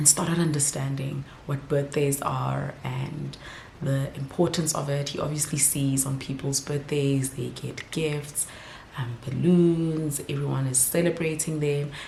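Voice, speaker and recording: A woman's very deep, low, flat and monotone voice amid noticeable background noise and audible room echo. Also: fairly slow pace. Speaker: vlogger and mother. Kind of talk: casual vlog talk to camera. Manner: whispering.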